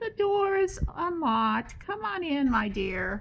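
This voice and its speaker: A female-sounding voice puts on a character voice at a high pitch and a fairly slow pace. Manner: feigned sweet.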